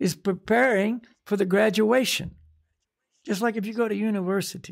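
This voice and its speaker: A high-pitched male voice with an American accent at a moderate pace, quiet background. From US. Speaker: spiritual teacher. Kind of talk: casual chat. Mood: calm, reflective. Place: home room. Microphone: studio mic.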